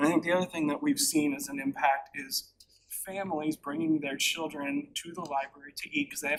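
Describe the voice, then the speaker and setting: Here a man talks at a fairly quick pace. His pitch is fairly high, with ordinary variation. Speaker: library branch staff presenter. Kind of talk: board meeting presentation. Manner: off the cuff.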